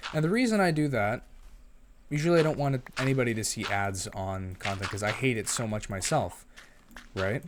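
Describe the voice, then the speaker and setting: Using an ordinary speaking voice, a man talks at medium pitch and a moderate pace with lively intonation. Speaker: gaming YouTuber and voice actor. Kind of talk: casual gameplay commentary. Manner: rambling with many fillers and false starts.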